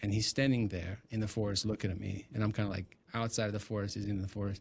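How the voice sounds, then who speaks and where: Speaking at a very fast pace, a man comes across as somewhat breathy. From Ukraine. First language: Ukrainian or Russian. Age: 30s. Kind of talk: testimony. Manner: animated.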